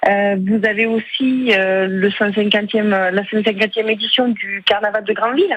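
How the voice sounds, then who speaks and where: At a moderate pace and with hardly any pauses, a woman speaks in a fairly high, monotone voice of very even loudness, with noticeable background noise behind her. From Aveyron, southwest France. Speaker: regional politician. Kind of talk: radio interview. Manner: hesitant, many filler euh.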